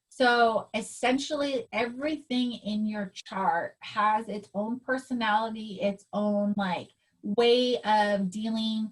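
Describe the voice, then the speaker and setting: The voice is somewhat breathy and fairly even in intonation. It moves at a very slow pace. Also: woman. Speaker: astrologer. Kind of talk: personal astrology reading.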